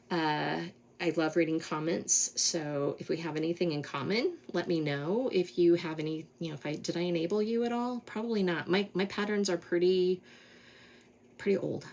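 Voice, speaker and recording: A woman with an American accent has a plain, everyday voice. She talks at a moderate pace, with a fairly low pitch and ordinary pitch variation. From Colorado, US. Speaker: cross-stitch vlogger. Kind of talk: casual monologue, craft vlog.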